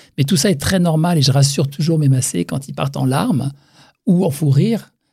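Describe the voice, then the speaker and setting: The voice is a man's, somewhat breathy. His pitch varies in an ordinary way. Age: 60s. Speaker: facial massage practitioner. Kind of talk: interview.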